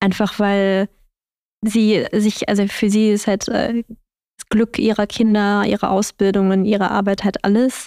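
A woman's medium-pitched voice with a dark, mellow tone, monotone, flat intonation, a very slow pace and very even loudness, in a dry, close sound with no echo on a very clean recording with a silent background. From Germany. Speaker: podcast host. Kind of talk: casual chat.

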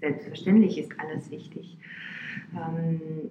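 A woman speaks at a very slow pace. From Romania, Bucharest. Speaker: violinist. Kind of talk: interview. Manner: hesitant with fillers.

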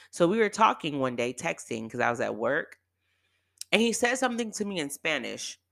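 With an American accent, a woman speaks at a fairly quick pace in a fairly low pitch, an animated tone, vocal fry, and very wide pitch swings. The recording is very clean with a silent background. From California, Bay Area. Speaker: podcast host, dispatcher. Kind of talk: casual storytelling monologue.

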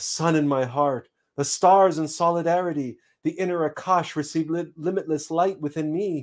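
In a very clean recording with a silent background, a man uses an ordinary speaking voice at a fairly high pitch, with fairly even intonation and a moderate pace. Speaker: spiritual teacher. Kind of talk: live-streamed spiritual talk. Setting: live stream. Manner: formal; measured, lecturing.

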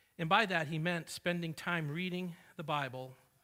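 A man with a New England accent speaks at a fairly high pitch. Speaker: preacher. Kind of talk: sermon. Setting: church.

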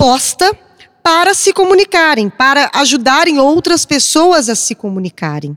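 Her pitch swings very widely as a woman speaks at a fairly slow pace. The sound is dry and close with no echo. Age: 40s. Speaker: journalist. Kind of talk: panel discussion.

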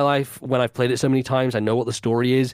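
The speaker is a man with a British accent. His pitch sits in the medium range. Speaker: podcast host. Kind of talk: casual chat. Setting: video call.

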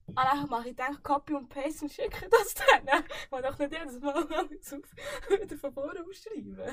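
A woman's high-pitched voice with lively intonation and big swings in loudness. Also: moderate pace. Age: 20s. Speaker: podcast guest. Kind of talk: casual chat.

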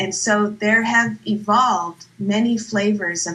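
A medium-pitched woman's voice with ordinary pitch variation over noticeable background noise. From Northern California. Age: 50s. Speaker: recovery meeting speaker. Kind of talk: testimony. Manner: halting.

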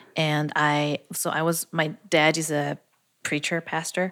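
A woman's very deep, low voice, monotone and flat, at a very slow pace in a very clean recording with a silent background. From Austria, Vienna. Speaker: music producer. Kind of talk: casual interview. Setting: studio.

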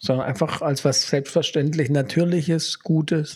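At a moderate pace, a man speaks with ordinary pitch variation. His voice is somewhat breathy. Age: 40s. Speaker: podcast host, father and former history teacher. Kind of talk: casual chat.

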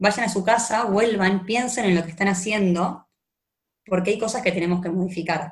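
A woman speaks in an Argentine accent at a medium pitch, her voice somewhat breathy. Her pitch varies in an ordinary way, and her pace is fairly slow. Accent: Argentine Spanish (Rioplatense). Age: 20s. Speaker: lawyer. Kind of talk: personal testimony in a casual interview.

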